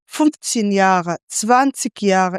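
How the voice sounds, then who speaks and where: Recorded very cleanly with a silent background and a dry, close sound free of echo, a woman talks with a non-native accent. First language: not German (speaking German). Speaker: panelist, migrant activist. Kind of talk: panel discussion. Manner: halting.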